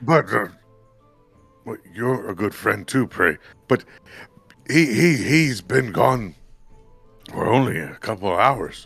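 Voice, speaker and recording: Using a put-on character voice, a man speaks raspy at a medium pitch with lively intonation, a fairly slow pace and long, frequent pauses, while faint music plays in the background. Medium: actual play. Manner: simple, earnest.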